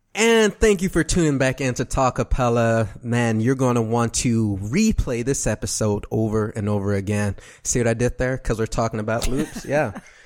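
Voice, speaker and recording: A man with an American accent speaks in an ordinary speaking voice at a medium pitch and moderate pace, with ordinary pitch variation and hardly any pauses, on a very clean recording with a silent background. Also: very even loudness. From Texas, Dallas. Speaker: radio podcast host. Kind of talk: casual interview.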